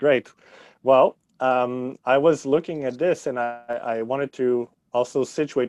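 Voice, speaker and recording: A man with a Quebec French accent speaks at medium pitch and a fairly slow pace, his intonation fairly even, in a dry, close sound with no echo against a quiet background. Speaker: history teacher. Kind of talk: podcast interview. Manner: halting, many fillers.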